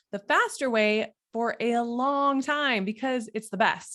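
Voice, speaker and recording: On a very clean recording with a silent background, a woman speaks with a Minnesotan accent. Her tone is animated and her pitch high. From Minnesota, US Midwest. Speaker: health and fitness coach. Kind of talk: motivational talk.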